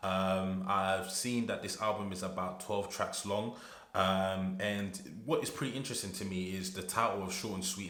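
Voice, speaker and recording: Fairly even intonation amid audible room echo and noticeable background noise. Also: man. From UK. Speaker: music reaction youtuber. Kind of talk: casual reaction video.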